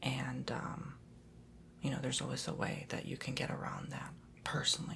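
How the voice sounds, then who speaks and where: Whispering at a fairly quick pace, a man is heard with audible room echo and noticeable background noise. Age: 20s. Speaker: ASMR youtuber. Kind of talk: casual chat. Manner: soft-spoken.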